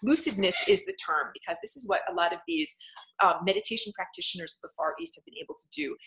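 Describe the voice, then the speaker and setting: A woman speaks at a very fast pace, with big swings in loudness. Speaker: spiritual channel host. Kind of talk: live stream talk answering chat comments. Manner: animated.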